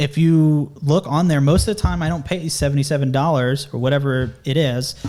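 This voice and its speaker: A man talks at a fairly quick pace and fairly high pitch, with fairly even intonation and very even loudness, in an ordinary speaking voice. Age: 20s. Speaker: junior construction estimator, former plumber. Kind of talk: interview, casual.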